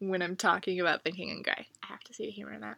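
Vocal fry from a woman with an American accent, medium in pitch, in a dry, close recording with no echo. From United States. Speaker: solo podcaster. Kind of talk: casual solo monologue. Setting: at home with window open.

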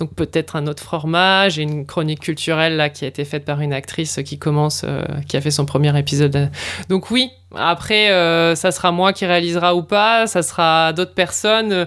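A woman with a normal speaking voice, fairly low in pitch, talks at a moderate pace with ordinary pitch variation. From northern France, Lille. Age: 40s. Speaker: podcast producer. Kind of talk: casual interview.

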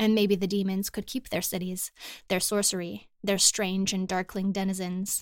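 The speaker reads aloud. A natural reading voice is used.

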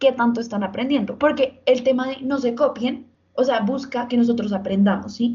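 Spoken at a moderate pace with fairly even intonation. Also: woman, high pitch for a woman. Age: 20s. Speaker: law student. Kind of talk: casual chat.

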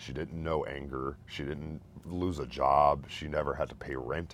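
Vocal fry runs through this man's very deep, low voice. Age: 30s. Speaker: bereaved father. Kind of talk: testimony.

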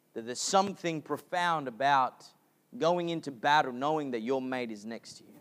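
A man speaks in an Australian accent with ordinary pitch variation. His loudness swings widely. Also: fairly high pitch for a man, moderate pace. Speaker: pastor. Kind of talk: sermon. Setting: church.

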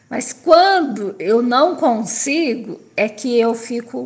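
With noticeable background noise, a woman talks in a fairly high pitch and ordinary pitch variation. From interior of São Paulo state, Brazil. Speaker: person with Parkinson's. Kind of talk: personal testimony. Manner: halting.

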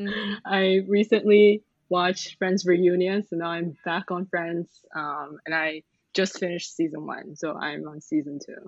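A woman with an unremarkable speaking voice talks at a fairly slow pace in a fairly low pitch with ordinary pitch variation, the sound dry and close with no echo. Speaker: arts manager and freelance translator, podcast co-host. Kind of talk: casual chat. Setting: remote call from Singapore.

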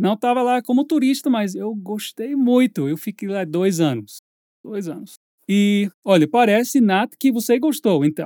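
With an English accent, a man speaks at a fairly slow pace in a high, dark, mellow voice with lively intonation, the sound dry and close with no echo on a very clean recording with a silent background. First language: English (speaking Portuguese). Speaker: English teacher, podcast host. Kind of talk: casual chat.

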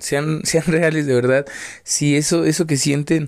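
A man speaks at a fairly slow pace. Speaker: podcaster. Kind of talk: casual monologue. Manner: rambling, hesitant with repetitions.

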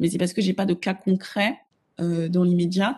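Somewhat breathy and dark, mellow in tone, a woman speaks at a medium pitch with monotone, flat intonation against a quiet background. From Africa. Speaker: image consultant and personal stylist. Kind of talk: interview.

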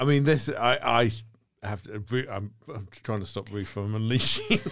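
A man talks in an unremarkable speaking voice, medium in pitch, showing ordinary pitch variation at a moderate pace. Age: 40s. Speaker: horror podcast host. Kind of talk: casual chat.

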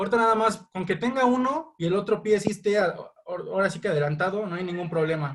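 This man talks at a fairly quick pace with hardly any pauses. His voice is high for a man and shows ordinary pitch variation. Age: 20s. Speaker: amateur football referee. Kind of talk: interview. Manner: halting.

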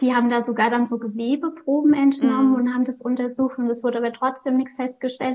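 A woman speaks at a very fast pace with hardly any pauses. Her high pitch stays monotone and flat. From Lower Franconia, Bavaria (near Aschaffenburg). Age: 30s. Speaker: author and lupus patient. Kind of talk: interview.

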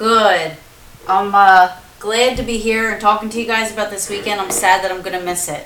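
Over noticeable background noise, a woman talks at a moderate pace with medium pitch and fairly even intonation. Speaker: paranormal show co-host. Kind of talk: casual chat, live stream.

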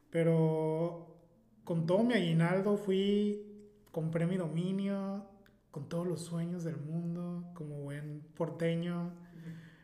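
A man with a high pitch speaks at a very slow pace in a monotone, flat intonation. Audible room echo and noticeable background noise accompany him. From Mexico, Mazatlán (Sinaloa). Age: 30s. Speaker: travel blogger. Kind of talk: casual chat.

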